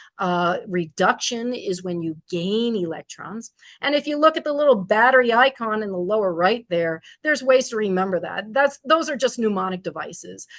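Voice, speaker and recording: A woman with a medium pitch speaks with lively intonation in a plain, everyday voice. The background is quiet. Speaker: STEAM teacher presenting a webinar. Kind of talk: webinar presentation. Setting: video call webinar.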